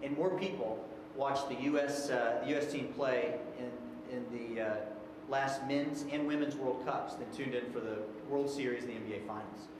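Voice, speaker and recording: A man talks with ordinary pitch variation amid audible room echo and noticeable background noise. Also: moderate pace. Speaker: presenter. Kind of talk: presentation to a board. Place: meeting room. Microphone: podium.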